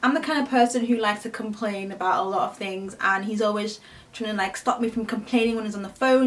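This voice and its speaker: Someone with a British accent speaks at a fairly quick pace with ordinary pitch variation over noticeable background noise. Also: woman. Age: 20s. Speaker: beauty youtuber. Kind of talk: casual Q&A chat.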